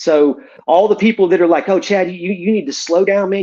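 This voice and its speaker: With an American accent, a man speaks very fast at a high pitch. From Northwest Florida (Pensacola). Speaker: podcast guest telling recovery story. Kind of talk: casual interview, personal testimony. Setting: podcast, livestreamed. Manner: animated, repetitive false starts.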